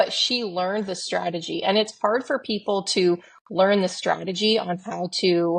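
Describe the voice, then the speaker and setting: An unremarkable speaking voice is heard. The background is quiet. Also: woman. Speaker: podcast co-host. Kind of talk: casual chat. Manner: casual, filler-heavy.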